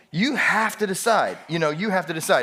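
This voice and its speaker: Speaking at a very fast pace, a man is heard through noticeable background noise and audible room echo. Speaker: pastor. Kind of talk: sermon. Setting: church. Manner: casual, conversational.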